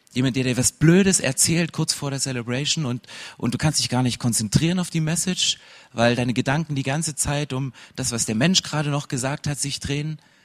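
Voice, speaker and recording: Fairly quick and with ordinary pitch variation, a man speaks at a fairly high pitch. The sound is dry and close, with no echo. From Saxony, eastern Germany. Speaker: pastor. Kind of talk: sermon. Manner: energetic.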